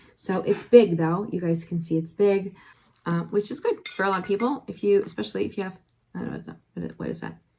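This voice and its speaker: A woman with a medium pitch and ordinary pitch variation speaks at a fairly quick pace. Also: big swings in loudness. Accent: American. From eastern Pennsylvania, Allentown area. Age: 50s. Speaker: nurse and online reseller vlogger. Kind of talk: casual haul vlog. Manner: hesitant, many fillers.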